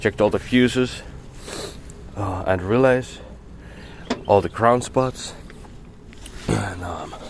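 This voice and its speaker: Over noticeable background noise, a man with fairly low pitch speaks at a very slow pace with long, frequent pauses. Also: ordinary pitch variation. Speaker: mechanic. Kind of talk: casual talk to camera, repair walkthrough. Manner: hesitant, stuttering.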